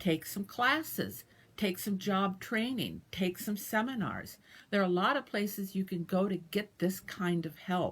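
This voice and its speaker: Speech comes at a fairly slow pace. Its tone is somewhat breathy, and the pitch shifts in an ordinary way. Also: woman, medium pitch for a woman. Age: 60s. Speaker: dialysis patient sharing experience. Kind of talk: personal advice talk. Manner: casual with fillers.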